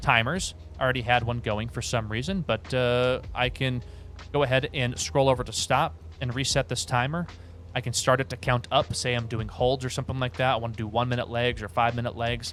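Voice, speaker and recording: This man's voice sits at a medium pitch with ordinary pitch variation. He talks at a fairly quick pace. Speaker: flight instructor and sim YouTuber. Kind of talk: tutorial. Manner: fast; casual.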